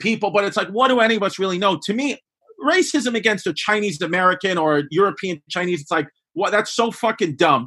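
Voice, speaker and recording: A man with a Brooklyn accent speaks in a raised, projected voice at a fairly quick pace. His high pitch has ordinary variation and a bright, sharp tone. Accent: Brooklyn New York. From New York (Bay Ridge, Brooklyn). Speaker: comedian. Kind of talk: casual chat.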